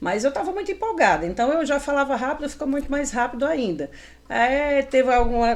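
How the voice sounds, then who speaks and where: A woman with a Paraíba accent speaks at a fairly quick pace over noticeable background noise. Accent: northeastern Brazilian (Paraíba). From Paraíba, northeastern Brazil. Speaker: retail salesperson and store manager. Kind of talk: interview.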